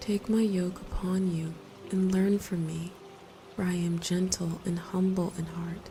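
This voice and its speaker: Over background music, a woman speaks in a calm, soothing tone with a fairly low pitch, flat monotone intonation and a fairly slow pace. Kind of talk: sleep scripture reading and prayer. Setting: with rain sounds in background. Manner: calm, soothing, slow.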